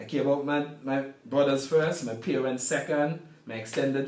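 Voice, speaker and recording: With an Antiguan accent, a man speaks at a moderate pace and a fairly high pitch, his intonation fairly even, amid audible room echo and noticeable background noise. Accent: Antiguan Caribbean English. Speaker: sports management professional. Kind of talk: casual interview; storytelling.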